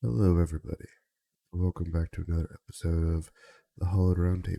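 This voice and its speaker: In a dry, close recording with no echo, a man with a very deep, low pitch and a dark, mellow tone speaks at a very fast pace with fairly even intonation. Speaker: podcast host. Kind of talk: casual chat. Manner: casual, hesitant.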